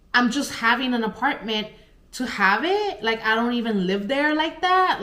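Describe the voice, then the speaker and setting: A woman talks at a moderate pace in an animated tone with lively intonation. Noticeable background noise and audible room echo surround her voice. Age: 20s. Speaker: pet sitter and vlogger. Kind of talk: personal storytime vlog. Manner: halting, stuttering.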